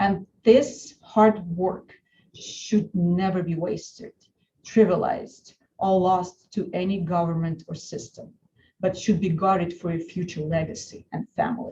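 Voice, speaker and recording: A woman's dark, mellow, somewhat breathy voice with a Russian accent, medium pitch, ordinary pitch variation and a fairly slow pace. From Russia (Saint Petersburg). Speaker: lawyer. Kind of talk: webinar presentation. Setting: online webinar.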